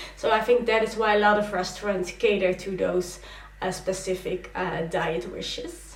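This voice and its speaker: At a fairly slow pace, a woman with a medium pitch and ordinary pitch variation talks over noticeable background noise. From Netherlands. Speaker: vlogger. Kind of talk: casual talk to camera.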